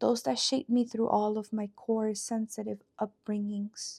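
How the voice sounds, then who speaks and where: In a non-native accent, a woman with a fairly high, somewhat breathy voice and a dark, mellow tone speaks at a fairly slow pace in a dry, close sound with no echo. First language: not English. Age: 30s. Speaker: poet. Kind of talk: reading aloud own poem.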